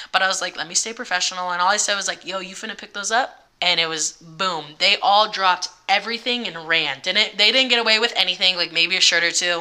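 Over noticeable background noise, a woman with a medium-pitched voice and ordinary pitch variation talks at a very fast pace with hardly any pauses. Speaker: spa manager and online content creator. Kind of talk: casual chat.

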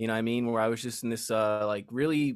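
Recorded very cleanly against a silent background, a man speaks at medium pitch in an ordinary speaking voice. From Las Vegas, US. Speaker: musician and author. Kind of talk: casual interview.

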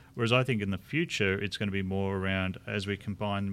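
This man speaks at a very fast pace in a fairly low pitch. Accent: Australian. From Australia. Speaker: chief information officer. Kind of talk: live interview.

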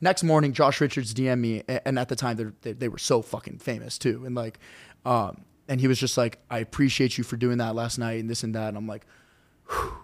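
This man has a plain, everyday voice at medium pitch, with fairly even intonation. He talks at a fairly quick pace in a very clean recording with a silent background. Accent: American. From North Carolina. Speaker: social media cooking creator. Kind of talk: casual chat.

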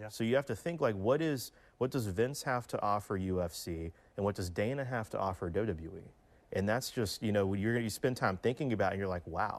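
On a very clean recording with a silent background, a man uses a plain, everyday voice, fairly low in pitch with ordinary pitch variation, at a moderate pace. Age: 20s. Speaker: wrestling convention founder. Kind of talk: interview.

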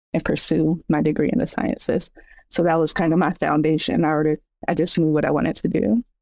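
On a very clean recording with a silent background, a woman talks very fast in a very deep, low pitch, her tone dark and mellow and her intonation fairly even. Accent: American. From US West, San Bernardino, California. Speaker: herbalist and scientist. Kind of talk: interview.

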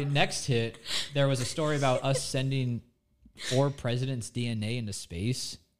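Over music in the background, a man with an American accent speaks at a fairly high pitch. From Florida, Nature Coast. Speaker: TV meteorologist. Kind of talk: casual chat.

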